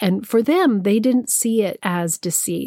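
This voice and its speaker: In a fairly slow, dark, mellow voice with ordinary pitch variation, a woman with an American accent speaks on a very clean recording with a silent background and a dry, close sound free of echo. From Santa Fe, New Mexico, US. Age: 50s. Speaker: podcast host and spiritual teacher. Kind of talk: personal storytelling monologue.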